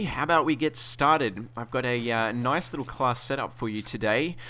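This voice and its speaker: An enthusiastic man with an Australian accent, bright and sharp in tone, at a moderate pace with ordinary pitch variation. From Australia, Sydney. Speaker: gaming video host. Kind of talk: gaming tutorial. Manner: casual, enthusiastic.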